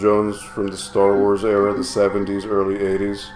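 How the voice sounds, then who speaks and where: A man speaks at a fairly low pitch. Music plays behind him, and the room echo is audible. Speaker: live streamer co-host. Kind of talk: casual chat. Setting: live stream.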